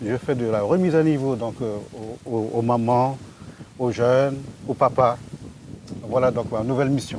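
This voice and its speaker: Noticeable background noise sits behind a man speaking at medium pitch with fairly even intonation. His pace is moderate, broken by long, frequent pauses. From French Guiana (Amerindian, born Yalimapo, raised Saint-Laurent). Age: 60s. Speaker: village resident, trainer. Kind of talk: casual interview. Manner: hesitant, many fillers.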